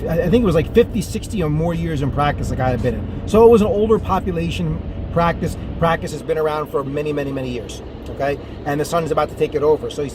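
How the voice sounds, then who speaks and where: Over noticeable background noise, a man speaks at a very fast pace in an animated tone, his fairly high voice full of lively intonation. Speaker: dental practice coach. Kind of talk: solo video monologue on practice management. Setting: on the road. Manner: animated, casual.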